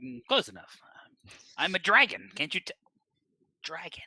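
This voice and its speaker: Using a put-on character voice, a man talks at a moderate pace with a high pitch. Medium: actual play. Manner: grumbly, sulky.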